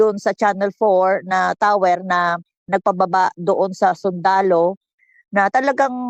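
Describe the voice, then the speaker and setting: The speaker is a woman. Her voice comes through dry and close, without any echo. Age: 60s. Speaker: political commentator. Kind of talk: casual chat. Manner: animated.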